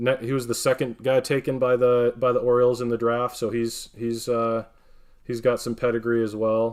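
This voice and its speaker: Speaking at a moderate pace, a man with an American accent uses a plain, everyday voice at a medium pitch. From northern Wisconsin, US. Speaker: card breaker streamer. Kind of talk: live stream card opening commentary.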